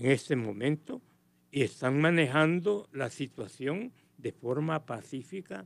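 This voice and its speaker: A man with a fairly high pitch, lively intonation and a very slow pace. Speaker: political commentator. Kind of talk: radio interview.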